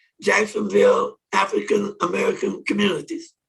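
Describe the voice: A man with a husky, rough edge and vocal fry, a fairly bright tone, ordinary pitch variation and a fairly slow pace.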